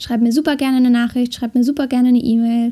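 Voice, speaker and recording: This woman's high-pitched voice has a dark, mellow tone and a monotone, flat delivery. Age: 20s. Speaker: podcast host, fitness and relaxation coach. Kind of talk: podcast intro monologue.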